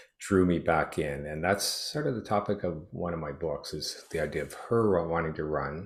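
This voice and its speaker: On a very clean recording with a silent background, a man with a very deep, low pitch and a somewhat breathy voice speaks at a moderate pace with ordinary pitch variation. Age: 60s. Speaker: retired teacher and triathlete. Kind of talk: interview. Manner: halting, many fillers.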